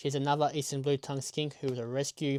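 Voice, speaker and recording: Quiet and fairly quick, a man with an Australian accent talks at a fairly high pitch, the sound dry and close with no echo and the recording very clean over a silent background. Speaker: reptile keeper and wildlife YouTuber. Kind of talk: tutorial.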